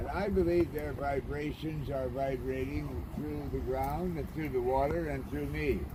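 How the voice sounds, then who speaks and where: Noticeable background noise and audible room echo surround the recording. A man speaks with hardly any pauses. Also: fairly slow pace. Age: 80s+. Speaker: anchorage community preacher. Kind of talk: informal sermon. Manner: impassioned.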